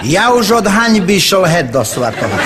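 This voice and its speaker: A man with an eastern Slovak accent speaks at a high pitch, swinging it very widely. Noticeable background noise runs under his voice. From eastern Slovakia. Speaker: comic storyteller. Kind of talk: humorous monologue to an audience.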